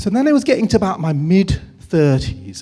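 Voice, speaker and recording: In an English accent, a man with a dark, mellow tone talks at a moderate pace, his pitch swinging very widely. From England. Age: 50s. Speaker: writer and documentary maker. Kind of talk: public talk. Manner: conversational.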